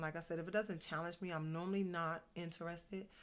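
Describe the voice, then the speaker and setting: A woman speaks very fast in a monotone, flat delivery at a fairly low pitch, on a very clean recording with a silent background. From New Jersey. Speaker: motivational vlogger. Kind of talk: casual vlog monologue. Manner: normally very fast. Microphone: good-sounding mic.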